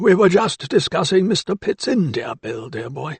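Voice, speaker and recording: This put-on character voice is raspy, with very wide swings in pitch. Its loudness jumps up and down a lot. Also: man, high pitch for a man, moderate pace. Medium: read story. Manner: jovial, chuckling.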